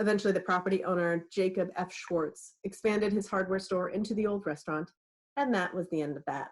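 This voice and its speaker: She has a plain, everyday voice, medium in pitch, with an American accent. The woman talks at a fairly quick pace with ordinary pitch variation. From California, Napa. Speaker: author and librarian. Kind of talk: reading aloud. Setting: video call.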